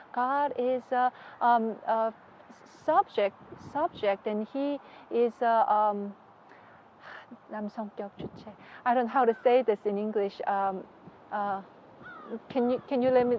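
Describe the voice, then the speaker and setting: Fairly slow and marked by long, frequent pauses, a woman's speech sits at a fairly high pitch with ordinary pitch variation. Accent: Korean. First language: Korean. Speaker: religious leader's wife. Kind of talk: interview. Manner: halting.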